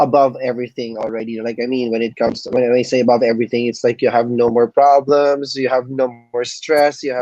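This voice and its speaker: Very fast, flat, monotone delivery with hardly any pauses over background music. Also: man, medium pitch for a man. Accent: Filipino. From Philippines. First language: Filipino language. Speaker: entrepreneur. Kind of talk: interview. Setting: live stream.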